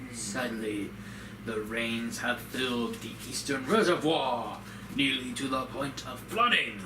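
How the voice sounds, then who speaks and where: Against loud background noise, a man puts on a character voice at a medium pitch and speaks at a fairly slow pace. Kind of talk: formal, archaic game dialogue. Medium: game stream. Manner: stately, deliberate.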